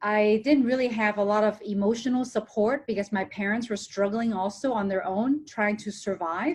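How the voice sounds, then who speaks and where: A woman's somewhat breathy, fairly high voice at a moderate pace, with ordinary pitch variation. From Hong Kong, raised in small-town Ohio from age ten. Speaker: TV presenter and motivational speaker. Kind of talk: podcast interview.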